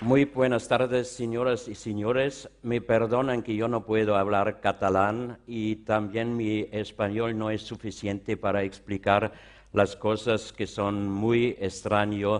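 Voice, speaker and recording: In an Austrian accent, a man speaks very slowly with hardly any pauses, his fairly low voice monotone and flat. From Austria, Vienna. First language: German (speaking Spanish). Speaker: art expert and exhibition curator. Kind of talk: conference lecture. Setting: conference stage with large audience. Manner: halting.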